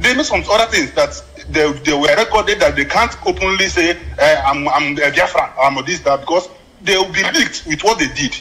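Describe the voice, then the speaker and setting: Against noticeable background noise, a man with a high pitch talks at a fairly quick pace, his intonation lively and his loudness very even. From Nigeria, Abia State. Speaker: caller. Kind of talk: phone-in comment.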